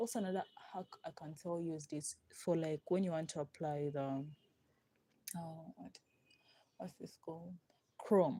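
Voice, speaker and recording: A woman's fairly low voice with a non-native accent and ordinary pitch variation. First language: not English. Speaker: nail artist livestreamer. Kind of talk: live tutorial. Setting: live stream. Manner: casual, halting.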